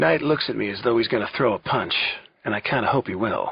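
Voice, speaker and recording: In a put-on character voice, a man talks very fast at a medium pitch, his tone raspy. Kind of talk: suspense audiobook narration. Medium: read story. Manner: tense, clipped.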